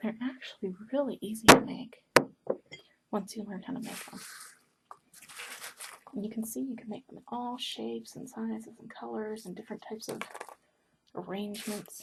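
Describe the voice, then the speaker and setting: A woman speaks in a fairly high voice with big swings in loudness. Her long, frequent pauses sit over noticeable background noise. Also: ordinary pitch variation, moderate pace. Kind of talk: ASMR paper-folding ramble to camera.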